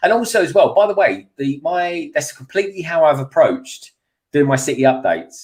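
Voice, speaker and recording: The speaker has a London accent and talks at a fairly quick pace. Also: man. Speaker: YouTube toy builder. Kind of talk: casual chat. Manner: animated.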